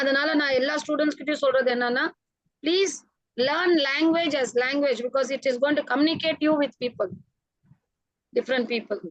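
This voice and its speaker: Speaking at a fairly quick pace with long, frequent pauses, a woman uses a high voice with ordinary pitch variation and a Tamil accent. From India, Tamil background. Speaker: food service professional. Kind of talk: interview on a panel.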